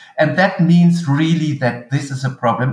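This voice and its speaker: Fairly slow, somewhat breathy speech from a man. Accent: German. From western Germany (Eifel). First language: German. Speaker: agricultural researcher. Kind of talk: interview. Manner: halting.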